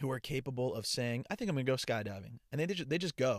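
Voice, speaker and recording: Recorded very cleanly against a silent background, a man talks at medium pitch in a normal speaking voice. The sound is dry and close with no echo, and his intonation is lively. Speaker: podcaster and TikTok creator. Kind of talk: casual solo podcast monologue. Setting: home or travel mic, testing a USB microphone. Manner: casual, chatty, conversational.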